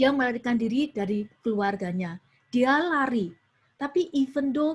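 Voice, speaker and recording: With a strong Surabaya accent, a woman speaks at a high pitch and a moderate pace, her intonation lively. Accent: strong Surabaya (East Javanese). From Indonesia, Surabaya (East Java). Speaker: youth preacher. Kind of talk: sermon. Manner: mixes Indonesian with English phrases.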